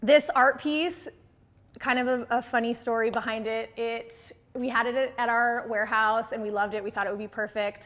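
A woman talks fairly quickly, her pitch varying in an ordinary way. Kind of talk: house tour presentation. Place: home room. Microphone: lapel.

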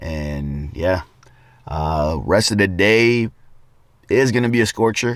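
A man speaks with a very deep, low pitch. The background is quiet and the sound is dry with no echo. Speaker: vlogger. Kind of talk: casual vlog chat. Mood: relaxed, content. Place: car. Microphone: phone near.

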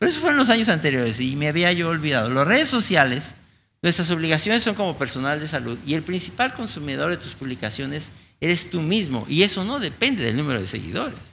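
A man talks very fast in a bright, sharp tone at a fairly high pitch, with very wide pitch swings. Light background noise sits behind him. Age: old. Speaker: infectious disease physician; conference lecturer. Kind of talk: conference talk. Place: hall.

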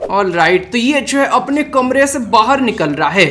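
A man speaks with lively intonation. Light background noise sits behind him. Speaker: reaction video host. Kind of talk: reaction commentary. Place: home room.

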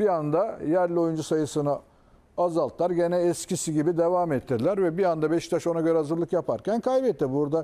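Dark and mellow in tone, a man's high-pitched voice moves at a fairly quick pace with ordinary pitch variation. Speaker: football pundit. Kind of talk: casual chat.

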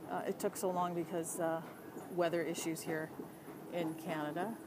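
Here a woman speaks at a fairly slow pace. Background noise is noticeable. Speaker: livestreamer. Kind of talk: casual livestream chat, reading viewer comments aloud. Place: tunnel cave. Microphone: phone near.

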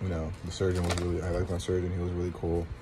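Over noticeable background noise, a man with a very deep, low pitch speaks very fast in a monotone, flat intonation. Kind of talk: casual vlog chat. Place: home room. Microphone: phone near.

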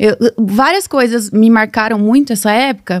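A woman with fairly even intonation over a quiet background. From Brazil, São Paulo state (Nova Odessa); São Paulo state, Brazil. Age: 20s. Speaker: social media marketer and mentor; podcast guest. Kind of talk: casual interview chat. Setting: studio. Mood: reflective, personal storytelling. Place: studio. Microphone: studio mic.

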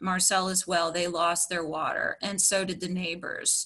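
In an Appalachian accent, a woman speaks fairly slowly in a bright, sharp, monotone voice over a quiet background. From West Virginia (Upshur County); West Virginia. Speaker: environmental activist; witness. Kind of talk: prepared testimony presentation. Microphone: video call.

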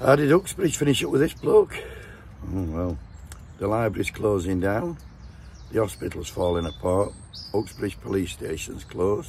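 This man has a fairly low pitch and very wide pitch swings, speaking at a moderate pace with long, frequent pauses. The sound is dry with no echo, over light background noise. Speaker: political vlogger. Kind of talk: casual vlog rant. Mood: mocking, sweary, jovial. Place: open country. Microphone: phone near.

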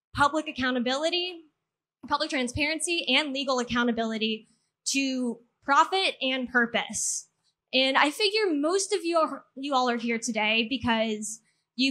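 A woman projects her voice loudly with a bright, sharp tone. She speaks at a moderate pace. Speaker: speaker. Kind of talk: public talk. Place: garden. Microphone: handheld.

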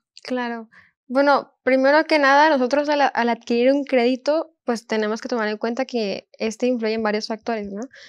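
A woman with a high voice and ordinary pitch variation speaks in a dry setting with no echo and a quiet background. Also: moderate pace. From northern Mexico, Montemorelos, Nuevo León; Nuevo León, Mexico. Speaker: university student; guest. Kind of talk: Bible study discussion; interview answer. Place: studio. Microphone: lapel.

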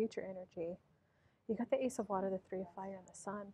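A woman's dark, mellow voice at a fairly quick pace. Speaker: tarot reader. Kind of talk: tarot reading commentary. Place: cafe.

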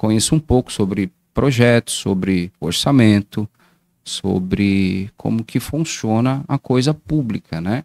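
Over a quiet background with a dry sound and no echo, a man speaks very slowly at a fairly low pitch with ordinary pitch variation. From Brazil, Guarulhos, greater São Paulo; São Paulo state, Brazil. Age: 40s. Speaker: municipal council pre-candidate; council candidate. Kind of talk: casual interview on livestream. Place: studio. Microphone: studio mic.

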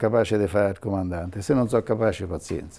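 A man with a dark, mellow tone. He talks at a very fast pace. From central Italy, Foligno (Umbria); Umbria, Italy. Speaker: retired airline and military pilot. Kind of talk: interview storytelling. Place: home room. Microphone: lapel.

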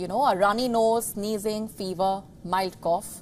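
Music plays in the background as a woman talks. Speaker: news anchor. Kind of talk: news reading, scripted TV news bulletin. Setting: studio. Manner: formal, brisk and authoritative; emphatic, repeats key figures for effect. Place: studio. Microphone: lapel.

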